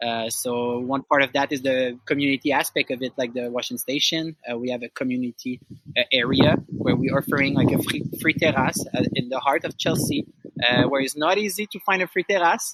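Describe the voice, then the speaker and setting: A fairly quick pace in a Quebec accent, with ordinary pitch variation. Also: man, medium pitch for a man, dry, close sound with no echo. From Quebec, Outaouais (Gatineau). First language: French. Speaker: outdoor rental business owner. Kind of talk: interview conversation. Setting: outdoors. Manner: halting.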